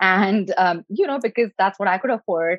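A woman with an Indian accent at a moderate pace. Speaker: nutritionist and health coach. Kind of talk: interview.

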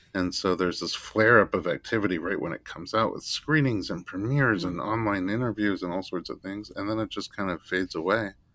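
A man with an American accent and a fairly low voice talks at a very fast pace. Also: ordinary pitch variation. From New York (Staten Island). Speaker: chiropractor and childbirth educator. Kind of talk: interview conversation.

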